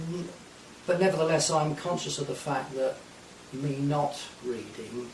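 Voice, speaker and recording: A man's fairly high-pitched voice at a fairly slow pace with ordinary pitch variation, amid audible room echo and noticeable background noise. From Essex, England. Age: 60s. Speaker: folk guitarist. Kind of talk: radio interview. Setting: radio studio.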